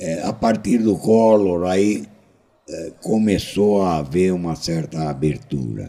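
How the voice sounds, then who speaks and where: Very deep and low in pitch, a man speaks at a very slow pace. His tone is dark and mellow, with ordinary pitch variation. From São Paulo, Brazil. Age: 70s. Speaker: foreign trade consultant. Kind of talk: interview.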